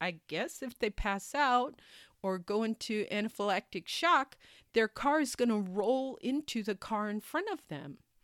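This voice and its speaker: In an unremarkable speaking voice, a woman talks at a fairly slow pace. Her pitch is fairly high and her intonation lively. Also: dry, close sound with no echo. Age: 50s. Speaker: podcast host. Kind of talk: personal monologue.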